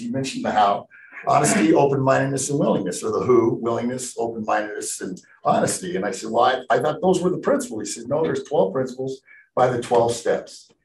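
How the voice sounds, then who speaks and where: Over noticeable background noise, a man's words come out at a very fast pace. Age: 60s. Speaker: recovering alcoholic speaker. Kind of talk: testimony.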